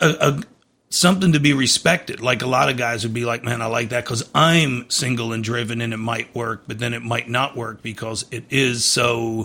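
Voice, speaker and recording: A man's plain, everyday voice, medium in pitch with ordinary variation, at a moderate pace. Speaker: podcast host, fitness trainer. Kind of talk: casual podcast interview.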